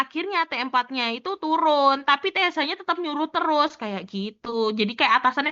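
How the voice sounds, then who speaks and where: Her pitch is high, and this woman speaks at a moderate pace with ordinary pitch variation. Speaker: pharmacy student tutor. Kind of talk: tutorial. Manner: casual.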